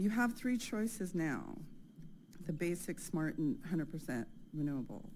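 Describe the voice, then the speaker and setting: Shaky and fairly low, a woman with an American accent speaks at a moderate pace with very wide pitch swings. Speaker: resident making public comment. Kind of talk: public comment.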